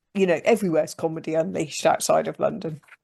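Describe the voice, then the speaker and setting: A woman speaks very fast with a West Country accent, her pitch fairly low. The background is quiet. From England, Gloucestershire. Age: 50s. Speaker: comedian. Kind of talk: podcast interview.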